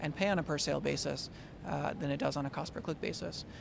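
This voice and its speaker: Recorded with audible room echo, a man speaks at a very fast pace. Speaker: tech company product director. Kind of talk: interview. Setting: conference event. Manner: halting with many fillers.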